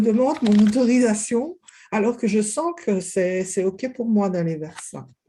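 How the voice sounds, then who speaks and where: A somewhat breathy woman's voice with a Belgian accent, dark, mellow tone, ordinary pitch variation and a fairly slow pace. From Belgium. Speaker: kinesiologist. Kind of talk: interview.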